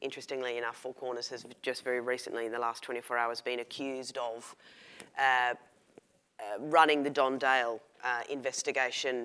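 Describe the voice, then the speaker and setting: A woman with an Australian accent speaks at a very deep, low pitch and a moderate pace. Her tone is bright and sharp, her intonation a flat monotone. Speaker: investigative reporter. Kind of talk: panel discussion.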